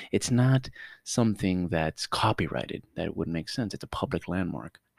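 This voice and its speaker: Animated speech with lively intonation at a moderate pace, dry and close with no echo, on a very clean recording over a silent background. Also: man. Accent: Miami. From Miami, Florida. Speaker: podcast co-host. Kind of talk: casual chat.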